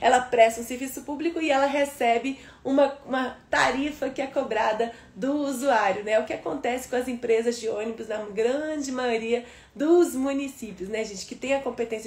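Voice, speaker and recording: A woman's high-pitched voice carries an animated tone, with audible room echo around it. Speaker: law teacher for civil service exams. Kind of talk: live online lecture. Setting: livestream. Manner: fast.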